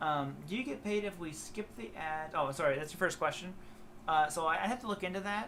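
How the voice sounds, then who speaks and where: With ordinary pitch variation, the speaker talks fairly quickly in an American accent. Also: man, high pitch for a man. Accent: slight southern twang at times. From Ohio, US Midwest. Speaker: guitar teacher and YouTuber. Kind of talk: live stream chat with viewers. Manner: casual, halting with fillers.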